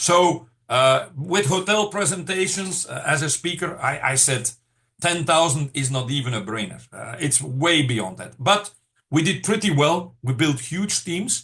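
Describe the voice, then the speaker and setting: Bright and sharp in tone, a man's fairly high voice carries vocal fry and lively intonation at a fairly slow pace. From Belgium, countryside. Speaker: network marketing trainer. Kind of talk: business training presentation. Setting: group call. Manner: hesitant, many filler words.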